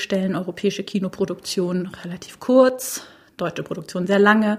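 A woman speaks in a somewhat breathy voice. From Bavaria. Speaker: TV fiction executive. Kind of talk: interview.

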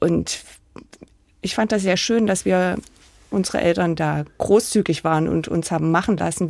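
This woman has a plain, everyday voice, fairly low in pitch, at a moderate pace. The recording is very clean, with a silent background. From Saxony-Anhalt, Germany (village near Sangerhausen). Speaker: architect. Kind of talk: interview.

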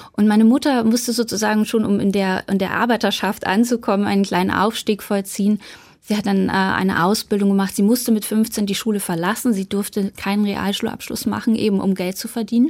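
On a very clean recording with a silent background, a woman with a plain, everyday voice speaks fairly quickly at medium pitch, with fairly even intonation and hardly any pauses. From eastern Germany, Saxony (Bautzen). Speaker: journalist and author. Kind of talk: radio interview.

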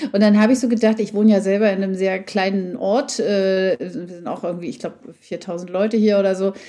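Her tone is dark and mellow, and her intonation stays fairly even. The woman speaks at a fairly quick pace. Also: medium pitch for a woman. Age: 50s. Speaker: journalist and podcast co-host. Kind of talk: interview. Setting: remote connection.

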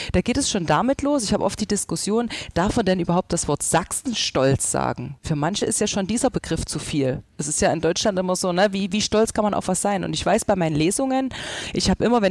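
A woman's very fast, lively speech in a dry, close sound with no echo. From Saxony, Germany. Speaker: social media dialect creator. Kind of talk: casual discussion.

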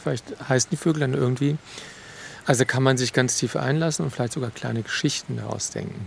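His words come out very fast. The man's voice sits at a medium pitch and varies in an ordinary way. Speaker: forest educator. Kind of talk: interview. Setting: outdoors in a forest.

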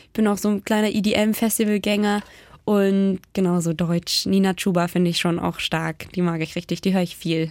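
A woman's fairly even intonation on a very clean recording with a silent background. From Baden-Württemberg, near Ravensburg. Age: 20s. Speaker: beauty pageant winner and youth worker. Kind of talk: casual radio interview. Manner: fast, gushing.

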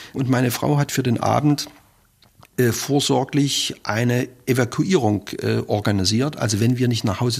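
A man of medium pitch talks at a moderate pace with ordinary pitch variation. It is an unremarkable speaking voice on a very clean recording with a silent background. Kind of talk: recalled interview testimony.

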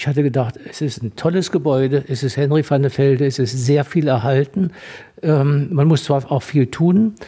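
Speaking at a moderate pace, a man with a fairly high pitch has a dark, mellow, somewhat breathy tone and ordinary pitch variation. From Thuringia, Gera. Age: 80s+. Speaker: doctor and museum founder. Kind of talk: radio interview. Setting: on location in historic villa.

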